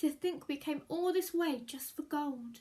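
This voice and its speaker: At a moderate pace, a woman uses a high-pitched, put-on character voice with ordinary pitch variation. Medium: read story.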